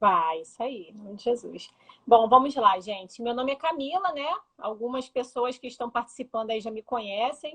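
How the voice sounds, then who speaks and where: A woman speaks with a high pitch and lively intonation. Her loudness swings widely. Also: moderate pace. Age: 30s. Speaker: interview guest. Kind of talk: personal testimony. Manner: talkative.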